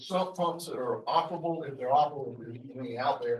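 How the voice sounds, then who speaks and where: A man with a Southern US accent and a fairly high pitch talks at a moderate pace. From US South, South Carolina (Richland County). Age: 60s. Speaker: public commenter at board meeting. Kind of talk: public comment. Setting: public meeting.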